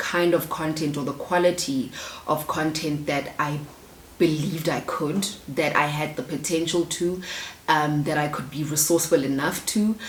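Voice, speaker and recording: A woman with a South African accent at a moderate pace, with noticeable background noise. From South Africa, Soshanguve, Pretoria. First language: isiZulu. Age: 20s. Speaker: YouTuber. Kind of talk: casual Q&A vlog.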